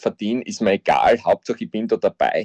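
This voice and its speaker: With an Austrian accent, a man comes through a dry, close sound with no echo and a quiet background. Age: 50s. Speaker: football coach. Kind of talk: interview.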